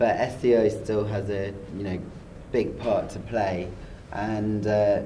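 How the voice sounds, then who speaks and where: Noticeable background noise and audible room echo surround a man with a British accent and a fairly low pitch. He talks at a fairly slow pace with long, frequent pauses and monotone, flat intonation. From UK. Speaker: SEO expert, site director. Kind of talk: interview. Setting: conference.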